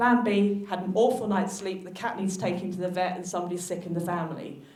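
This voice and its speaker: A woman with a South London accent and fairly even intonation, amid noticeable background noise and audible room echo. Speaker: physiotherapist. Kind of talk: conference talk.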